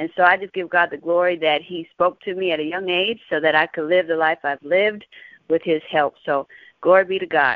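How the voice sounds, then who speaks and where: A woman with an American accent talks at a fairly quick pace in a fairly low pitch. She has an ordinary speaking voice with fairly even intonation. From Texas, San Antonio. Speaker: gospel singer. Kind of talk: Bible teaching.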